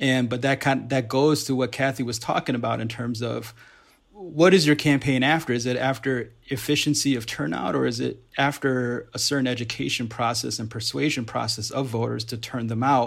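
Vocal fry marks this man's medium-pitched voice. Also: ordinary pitch variation, moderate pace. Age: 30s. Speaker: activist organizer. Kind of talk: casual chat. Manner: halting.

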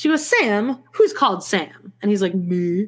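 A somewhat breathy voice at a fairly slow pace, with very wide pitch swings. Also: woman. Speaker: podcast host. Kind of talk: casual chat.

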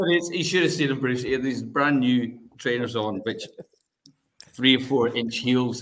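The speaker has a Scottish accent and a fairly slow pace. The pitch varies in an ordinary way. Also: man, medium pitch for a man. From Scotland. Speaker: charity fundraiser. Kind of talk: casual chat.

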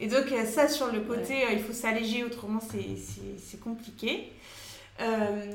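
Speaking at a fairly slow pace, a woman with a fairly high voice is heard amid noticeable background noise and audible room echo. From Paris, France. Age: 30s. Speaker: travel blogger and mother. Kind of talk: interview. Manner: hesitant, many fillers.

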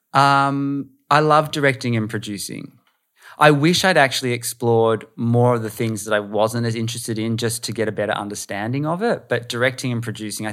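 Speech in an Australian accent moves at a moderate pace with ordinary pitch variation. The recording is very clean, with a silent background. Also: man. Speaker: producer and voiceover artist. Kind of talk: casual chat.

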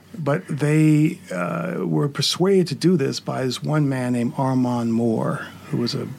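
This man's voice has a medium pitch and lively intonation. Noticeable background noise runs underneath. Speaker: TV writer and director. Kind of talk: panel interview, casual chat. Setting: studio.

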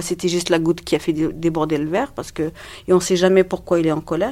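Fairly quick, fairly low-pitched speech from a woman, ordinary in its pitch variation. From Algeria. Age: 50s. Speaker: domestic violence survivor. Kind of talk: testimony. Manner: halting.

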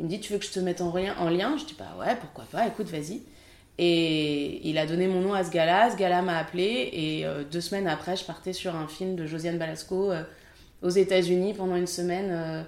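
Audible room echo surrounds a woman speaking at a moderate pace with a fairly low pitch and ordinary pitch variation. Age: 30s. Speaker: film assistant director. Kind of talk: interview.

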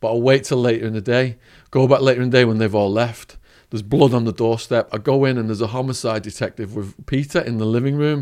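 Here a man with a northern English accent speaks at a medium pitch. He goes very fast against a quiet background. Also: fairly even intonation. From northern England. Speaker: former drug trafficker turned speaker. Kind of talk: storytelling interview.

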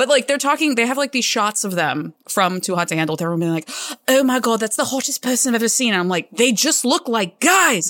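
Using very wide pitch swings, a woman with a fairly high pitch speaks at a fairly quick pace. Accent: American. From US South. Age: 30s. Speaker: event staff and artist at a gaming company. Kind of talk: casual chat.

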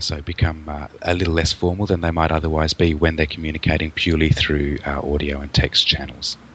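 Speaking at a fairly quick pace, a man has a very deep, low pitch. Noticeable background noise runs underneath. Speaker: podcast co-host, IT contractor. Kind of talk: casual chat. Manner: halting, with stutters and stammers.

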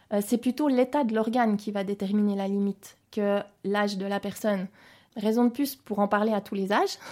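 Moderate pacing and ordinary pitch variation in a dark, mellow tone. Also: woman. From French-speaking Switzerland, Geneva area. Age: 40s. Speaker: intensive care nurse. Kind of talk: interview testimony.

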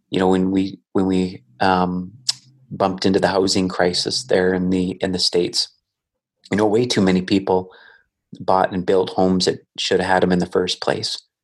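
Speaking with a Canadian accent, a man with a very deep, low pitch keeps a moderate pace and a monotone, flat intonation. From Alberta, Canada. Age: 40s. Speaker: investor and business owner. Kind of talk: casual interview. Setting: call.

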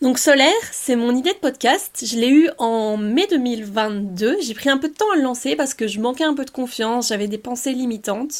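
Her pitch high and her intonation lively, a woman keeps a moderate pace with hardly any pauses. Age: 20s. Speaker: podcast host, student. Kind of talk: casual solo podcast talk.

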